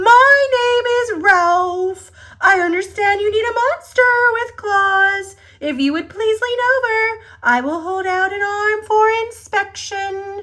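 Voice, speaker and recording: A woman does a squeaky put-on character voice at an extremely high pitch and a fairly slow pace. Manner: polite, courteous.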